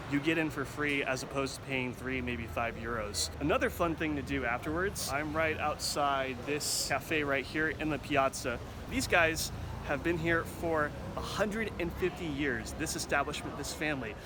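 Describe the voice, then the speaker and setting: This man has an American accent and a fairly high pitch, speaking at a moderate pace with ordinary pitch variation. Noticeable background noise and audible room echo are present. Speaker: travel reporter. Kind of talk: travel segment with narration. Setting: outdoors in a town square.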